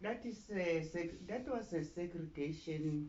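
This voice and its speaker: Amid audible room echo, a woman with vocal fry speaks at a very slow pace. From South Africa, near Pretoria. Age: 70s. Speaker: interviewee recalling apartheid. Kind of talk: interview.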